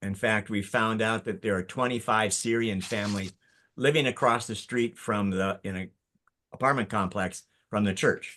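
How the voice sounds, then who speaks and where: Bright and sharp in tone, this voice moves at a moderate pace with fairly even intonation against a quiet background. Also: man, fairly low pitch for a man. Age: 70s. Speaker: interim pastor. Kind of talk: casual group video call. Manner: halting.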